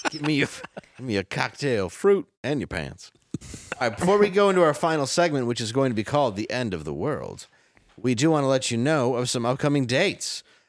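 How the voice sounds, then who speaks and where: A normal speaking voice talks in an American accent. The intonation is lively and the pace fairly quick. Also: man, medium pitch for a man. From Detroit, Michigan. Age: 40s. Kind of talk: comedic news show banter.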